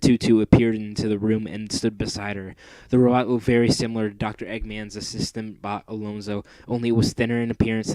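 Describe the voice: Text is read out plainly. No more than plain reading aloud is heard.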